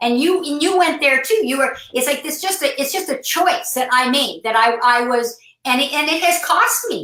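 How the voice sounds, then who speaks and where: Her voice high, raised and projected, a woman talks at a moderate pace with lively intonation and hardly any pauses. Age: 60s. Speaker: business talk show co-host. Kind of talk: casual conversation.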